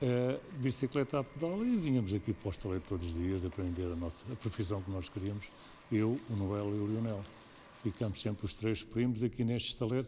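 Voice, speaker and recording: Somewhat breathy and dark, mellow in tone, a man with a fairly low pitch speaks at a fairly quick pace with ordinary pitch variation. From Portugal, Tagus south bank (Montijo area). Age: 70s. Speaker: shipwright. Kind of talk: documentary interview. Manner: hesitant, with repetitions.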